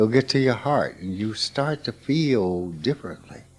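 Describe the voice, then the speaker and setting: A man speaks with a Mississippi accent at a medium pitch. His intonation is lively. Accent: Southern US, Mississippi. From US South. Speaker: spiritual teacher. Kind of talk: informal spiritual talk.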